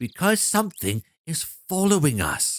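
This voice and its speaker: A man puts on a high-pitched character voice, with hissing in his speech. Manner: insistent, urgent, hissing.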